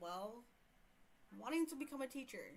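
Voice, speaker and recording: A woman speaks with an American accent. Her intonation is lively. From US South, Houston. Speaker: streamer reading online horror stories. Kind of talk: casual livestream storytelling. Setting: livestream. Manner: hesitant, many fillers.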